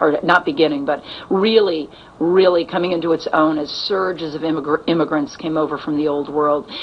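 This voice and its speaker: A woman's very deep, low voice with an American accent and ordinary pitch variation, over noticeable background noise. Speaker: actress. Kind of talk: interview. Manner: halting.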